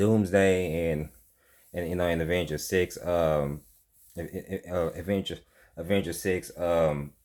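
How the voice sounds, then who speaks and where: In a very deep, low voice, a man speaks at a very slow pace with monotone, flat intonation on a very clean recording with a silent background. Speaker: movie reviewer. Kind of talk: casual video review monologue. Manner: halting, stumbling with many fillers.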